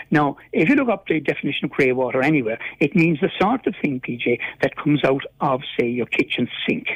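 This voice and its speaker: Speaking with a Cork accent, a man uses a fairly high pitch. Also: lively intonation, fairly quick pace. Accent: Cork Irish. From Ireland, East Cork. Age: 70s. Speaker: caller, local resident. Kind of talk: radio phone-in. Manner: halting, repeats words.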